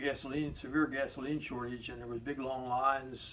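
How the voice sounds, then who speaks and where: Noticeable background noise sits behind a man talking fairly quickly at medium pitch. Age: 70s. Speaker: interviewee recalling history. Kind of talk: interview answers, personal recollection. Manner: halting, many repetitions.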